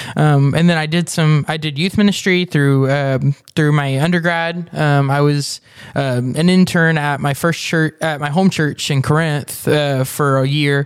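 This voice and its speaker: A man speaks at a fairly slow pace in a normal speaking voice, his fairly high pitch moving with fairly even intonation. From Texas, Denton. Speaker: church minister. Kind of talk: casual chat.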